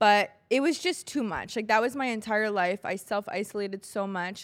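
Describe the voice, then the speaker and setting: The recording is very clean, with a silent background. A plain, everyday voice speaks at a moderate pace with ordinary pitch variation. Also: woman. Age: 20s. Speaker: podcast co-host. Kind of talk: casual chat.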